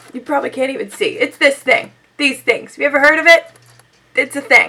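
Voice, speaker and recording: A woman talks very fast in a raised, projected voice. Her pitch is high and her intonation lively. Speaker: beauty vlogger. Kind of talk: casual talk to camera.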